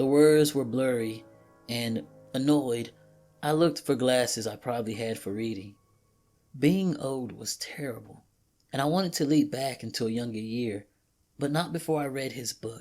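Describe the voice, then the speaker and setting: A man at a medium pitch and moderate pace, with ordinary pitch variation, long, frequent pauses and music in the background. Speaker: creepypasta narrator. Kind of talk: horror story narration.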